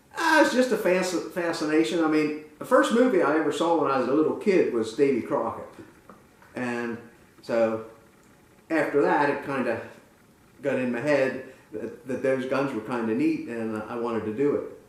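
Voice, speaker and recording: Amid audible room echo and noticeable background noise, a man with an American accent speaks at a fairly high pitch with lively intonation and long, frequent pauses. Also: moderate pace. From central Pennsylvania, Lewistown. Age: 70s. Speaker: muzzleloader club member. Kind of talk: interview. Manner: halting.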